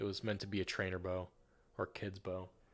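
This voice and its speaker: A man with a northern US accent talks at a fairly quick pace and a fairly low pitch. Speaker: streamer. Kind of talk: casual chat. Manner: halting.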